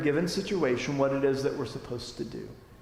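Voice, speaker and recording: Heard with audible room echo and noticeable background noise, a man with an American accent speaks with ordinary pitch variation. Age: 40s. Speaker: adult forum teacher at church. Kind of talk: lecture. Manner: casual, with many fillers.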